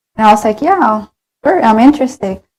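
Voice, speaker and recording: A woman speaks with a Spanish accent. Her pitch variation is ordinary. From Colombia. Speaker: graduate student and former intern. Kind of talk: interview. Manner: hesitant, many fillers.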